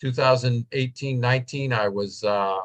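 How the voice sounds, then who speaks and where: The voice carries a somewhat breathy quality. Its intonation is fairly even. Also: man. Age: 60s. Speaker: professor and technology analyst. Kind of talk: interview webinar talk.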